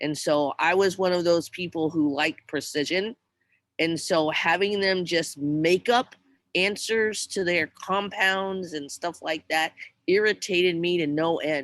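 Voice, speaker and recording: A woman's normal speaking voice, fairly low in pitch and fairly slow, with ordinary pitch variation, on a very clean recording with a silent background. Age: 60s. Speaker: teacher. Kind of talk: casual chat.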